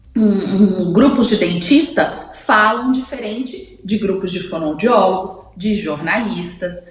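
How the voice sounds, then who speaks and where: Speaking at a very slow pace, a woman leaves hardly any pauses. Noticeable background noise and audible room echo fill the recording. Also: medium pitch for a woman, ordinary pitch variation. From Brazil, Goiás (Goiânia). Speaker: speech therapist, communication columnist. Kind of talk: radio interview column.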